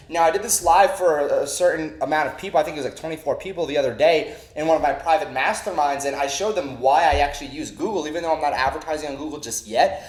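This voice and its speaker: A man talks at a very fast pace with hardly any pauses, his pitch fairly high and its variation ordinary. Noticeable background noise runs under his voice. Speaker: online marketing trainer. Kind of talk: tutorial. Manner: energetic.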